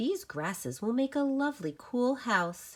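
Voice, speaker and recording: A put-on character voice at a moderate pace, with very wide pitch swings. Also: female-sounding voice, high pitch for a woman. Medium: read story.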